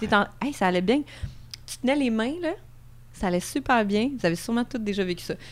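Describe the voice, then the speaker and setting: Speaking with a Quebec accent, a woman moves at a fairly quick pace with lively intonation. She takes long, frequent pauses. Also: fairly high pitch for a woman. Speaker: sexologist. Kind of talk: casual chat.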